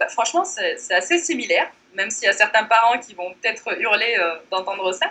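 There is noticeable noise in the background. The talking proceeds at a moderate speed. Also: woman. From Morocco. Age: 30s. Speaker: blogger. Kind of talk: interview.

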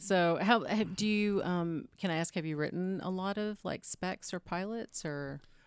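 A woman with an American accent has a normal speaking voice at a medium pitch with ordinary pitch variation. She talks at a fairly slow pace in a very clean recording with a silent background. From Texas (Austin). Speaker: comedian and writer. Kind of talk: casual chat.

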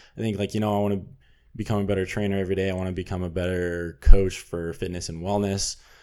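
Big swings in loudness mark this man's very fast, flat, monotone delivery, his very deep, low voice dark and mellow in tone, with an American accent on a very clean recording with a silent background. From Southern California. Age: 20s. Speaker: model and former college baseball player. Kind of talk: interview.

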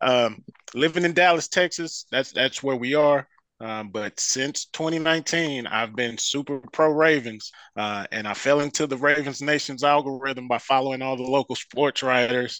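On a very clean recording, silent background, with a dry, close sound with no echo, a man in an American accent speaks at a moderate pace and a medium pitch, his tone bright and sharp, with ordinary pitch variation. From Detroit, Michigan. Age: 40s. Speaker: football fan, uncle of an NFL player. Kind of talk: casual chat.

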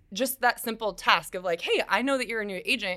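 A woman's bright, sharp voice at a fairly quick pace, over a very clean recording with a silent background. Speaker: loan officer. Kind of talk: interview answers. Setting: office studio. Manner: fast.

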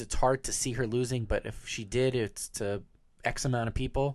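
A man's ordinary speaking voice at a medium pitch and moderate pace, with ordinary pitch variation and a quiet background. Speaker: podcast co-host. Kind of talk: casual chat. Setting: studio.

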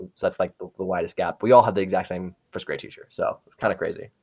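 The sound is dry and close with no echo as a man talks at a very fast pace. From Brazil, then US from elementary school. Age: 20s. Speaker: software engineer. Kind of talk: casual interview.

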